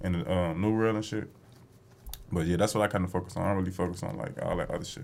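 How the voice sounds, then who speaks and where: A man talks very fast with a very deep, low pitch and fairly even intonation. Noticeable background noise runs underneath. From Chicago. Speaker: clothing brand founder. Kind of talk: casual chat.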